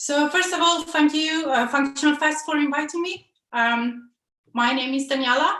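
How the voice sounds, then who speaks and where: Raised and projected, a woman's high, bright, sharp voice carries ordinary pitch variation amid audible room echo. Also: moderate pace. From Italy. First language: Italian. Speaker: software developer, conference speaker. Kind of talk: conference talk. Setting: online video presentation. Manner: hesitant, many fillers.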